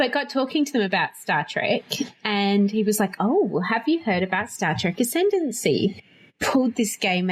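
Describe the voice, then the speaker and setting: The recording is very clean, with a silent background. A woman talks at a moderate pace in an Australian accent. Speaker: board game podcast host. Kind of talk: casual chat. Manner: animated.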